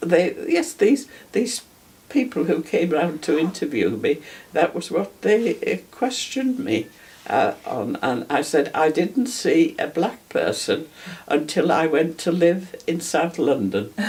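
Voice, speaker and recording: Her voice carries vocal fry as this woman speaks fairly slowly at a fairly low pitch, with very wide pitch swings. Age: 80s+. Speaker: war veteran. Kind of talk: testimony. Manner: halting.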